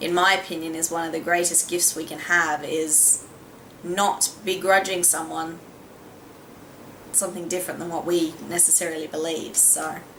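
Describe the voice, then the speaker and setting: In an Australian accent, a woman talks at a moderate pace with monotone, flat intonation. Audible room echo and noticeable background noise surround her voice. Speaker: beauty vlogger. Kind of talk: casual vlog talk.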